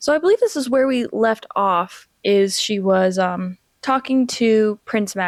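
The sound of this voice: In an unforced reading voice with ordinary pitch variation, the speaker reads over a quiet background.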